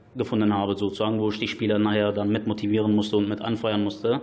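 A man with a fairly low-pitched voice speaks as noticeable background noise carries on. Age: 20s. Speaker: football club chairman. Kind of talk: radio interview.

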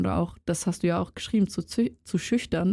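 At a fairly quick pace, a woman speaks with fairly low pitch, vocal fry, a dark, mellow tone and ordinary pitch variation, in a very clean recording with a silent background. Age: 20s. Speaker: student podcaster. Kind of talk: casual chat.

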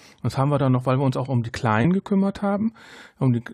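A man speaks in a somewhat breathy voice. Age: 40s. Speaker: podcaster. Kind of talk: casual chat.

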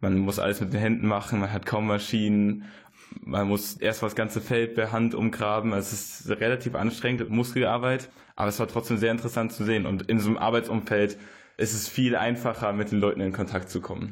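A man talks at a fairly quick pace with monotone, flat intonation. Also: fairly low pitch for a man. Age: 20s. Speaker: student, former volunteer in Guatemala. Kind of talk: radio interview.

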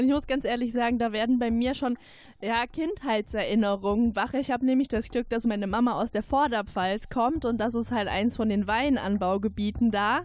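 An ordinary speaking voice, the woman's is fairly high, with fairly even intonation, very even loudness and a moderate pace. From Pfalz, Zweibrücken. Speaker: radio editor. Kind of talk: casual chat.

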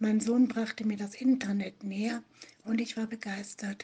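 Speaking very slowly, a woman holds a fairly high pitch in a monotone, flat intonation. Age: 50s. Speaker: online support group administrator. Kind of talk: interview.

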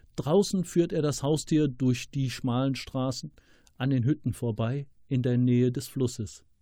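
A man's very slow, somewhat breathy delivery, medium in pitch with a dark, mellow tone. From Rhineland, Germany. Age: 50s. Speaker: author. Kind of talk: reading aloud.

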